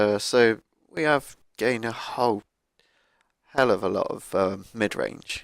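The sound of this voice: A man talks with fairly even intonation and audible vocal fry.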